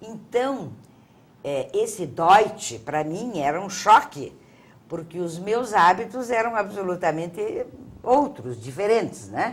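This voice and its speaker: At a very slow pace, a woman of medium pitch speaks with vocal fry, very wide pitch swings and big swings in loudness. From Paraná coast, Brazil (Antonina), then Curitiba. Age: 70s. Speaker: theatre figure. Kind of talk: interview.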